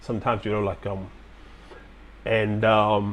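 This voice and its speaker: The voice belongs to a man with a slight Chinese accent. His pitch is medium. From Hong Kong and China. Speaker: military veteran. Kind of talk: live-stream Q&A talk. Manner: halting, many fillers.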